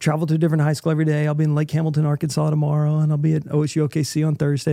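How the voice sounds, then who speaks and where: A very fast-talking man with a fairly high pitch and a dark, mellow tone. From Oklahoma. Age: 40s. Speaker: adoptive father, former engineer.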